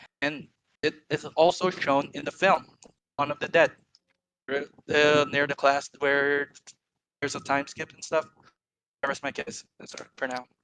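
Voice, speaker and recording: The pace is moderate, broken by long, frequent pauses. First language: not English. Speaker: viewer debating the host. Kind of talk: casual debate. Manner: halting.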